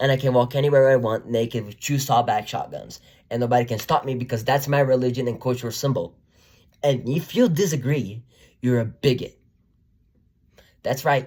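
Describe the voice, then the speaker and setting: A man talks at a fairly quick pace with an animated tone and a somewhat breathy voice, leaving long, frequent pauses. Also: medium pitch for a man. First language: not English. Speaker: YouTuber, commentator. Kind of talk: opinion monologue.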